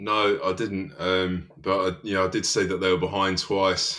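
At a fairly slow pace, a man speaks in a very deep, low voice with ordinary pitch variation. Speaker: football fan pundit. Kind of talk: casual chat.

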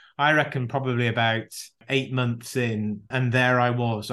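The background is quiet. A man speaks at a medium pitch and a fairly slow pace. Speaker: leadership consultant. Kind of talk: interview.

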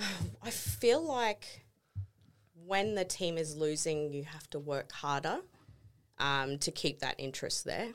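In a very clean recording with a silent background, a woman with an Australian accent speaks in a very deep, low voice at a fairly slow pace, with lively intonation and long, frequent pauses. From Townsville, north Queensland, Australia. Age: 30s. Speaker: sports team graphic designer. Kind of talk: casual chat. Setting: studio.

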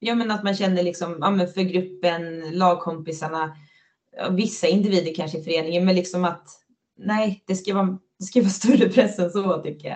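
A woman talks in a plain, everyday voice with a medium pitch. Her pace is moderate and her intonation fairly even. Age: 30s. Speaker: floorball player. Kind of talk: casual interview chat.

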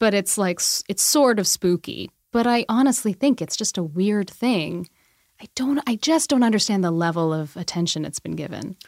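In a very clean recording with a silent background and a dry, close sound with no echo, a woman with an unremarkable speaking voice talks at medium pitch and a moderate pace with lively intonation. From Alberta, Canada. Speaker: magazine managing editor. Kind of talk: casual chat.

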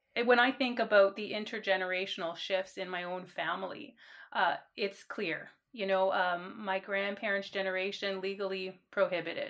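A woman speaks in an ordinary speaking voice at medium pitch. Her pace is moderate and her pitch varies in an ordinary way. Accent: Canadian. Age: 40s. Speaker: university administrator. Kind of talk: interview.

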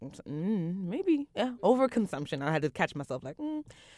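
Speaking with a Brooklyn accent, this voice makes very wide pitch swings on a very clean recording with a silent background. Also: woman. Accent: New York, Brooklyn. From Brooklyn, New York. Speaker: nonprofit program manager and activist. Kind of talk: casual chat. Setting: studio.

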